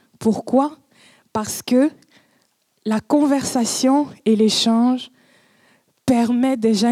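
In a dry, close recording with no echo, a woman with a dark, mellow tone and fairly high pitch talks at a very slow pace, her intonation fairly even and her pauses long and frequent. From Cameroon. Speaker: public speaker. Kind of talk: conference talk. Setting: stage with audience.

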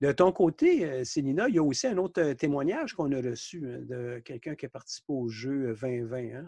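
A man's fairly high voice with ordinary pitch variation and hardly any pauses, dry and close with no echo over a quiet background. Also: moderate pace. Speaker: podcast host. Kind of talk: interview.

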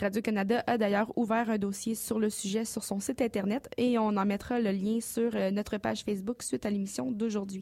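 A woman's fairly high, dark and mellow voice, with very even loudness, fairly even intonation and hardly any pauses. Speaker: news columnist. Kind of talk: news report. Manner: fast.

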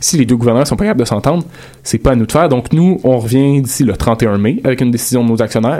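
In a Quebec accent, a man with a medium pitch speaks very fast, his pitch varying an ordinary amount. Background noise is noticeable. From Quebec, South Shore of Montreal. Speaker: columnist on campus radio show. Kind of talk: casual panel discussion.

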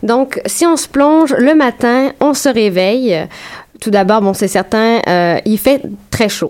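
A woman with a Quebec accent at a very slow pace. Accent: Québécois French. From Quebec, Saint-Jérôme. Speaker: graduate student researcher. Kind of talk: radio interview.

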